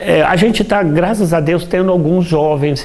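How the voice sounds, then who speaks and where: Amid noticeable background noise, a man with a Minas Gerais accent talks at a moderate pace with lively intonation. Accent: Brazilian Portuguese, Minas Gerais (mineiro). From Brazil, Minas Gerais (Juiz de Fora). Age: 60s. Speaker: dentist and table football player. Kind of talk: interview. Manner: halting, many repetitions.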